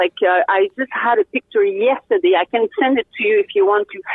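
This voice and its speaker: A woman with a French Canadian accent makes very wide swings in pitch. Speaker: race car driver and poker player. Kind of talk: interview. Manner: halting, many fillers; animated.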